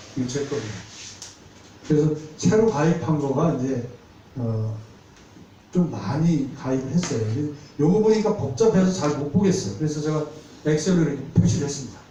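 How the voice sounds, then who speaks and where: A man with a fairly high pitch and lively intonation speaks at a moderate pace, taking long, frequent pauses. Noticeable background noise and audible room echo are present. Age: 60s. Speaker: seminar lecturer on insurance. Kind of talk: lecture. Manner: conversational.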